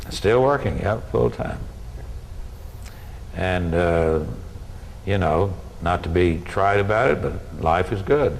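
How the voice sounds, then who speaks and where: Amid noticeable background noise and audible room echo, a man with a very deep, low pitch talks at a very slow pace, using lively intonation and long, frequent pauses. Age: 70s. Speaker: university administrator. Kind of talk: interview. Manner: halting.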